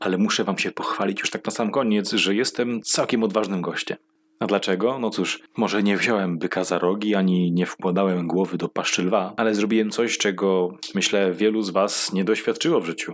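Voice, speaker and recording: A man with a fairly low voice speaks at a fairly quick pace. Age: 20s. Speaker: comedian. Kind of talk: stand-up. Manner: animated.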